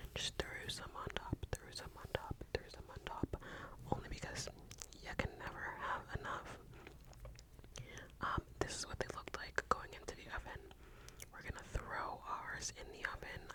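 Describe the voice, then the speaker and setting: A woman whispers at a moderate pace, with long, frequent pauses and big swings in loudness. Noticeable background noise runs underneath. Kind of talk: whispered ASMR voiceover. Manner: whispered, soft-spoken.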